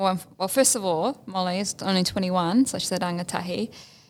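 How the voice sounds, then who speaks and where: A woman's voice at medium pitch, with a New Zealand accent. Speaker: podcast co-host, Māori language student. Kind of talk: casual chat.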